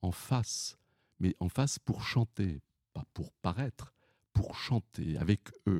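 At a very slow pace, a man with a dark, mellow tone and ordinary pitch variation speaks in a dry, close sound with no echo. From Paris region, France. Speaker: retired opera singer. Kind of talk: interview.

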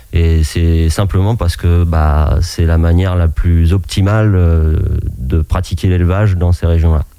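Against noticeable background noise, a man with a very deep, low voice talks fairly slowly, with fairly even intonation and very even loudness. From France, Maine-et-Loire (Anjou). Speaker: shepherd. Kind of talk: radio interview. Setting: radio studio.

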